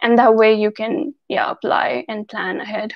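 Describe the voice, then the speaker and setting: A woman with an Indian accent, fairly high in pitch, speaking at a fairly slow pace. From India, Delhi-NCR. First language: Hindi. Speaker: YouTuber. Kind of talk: live Q&A.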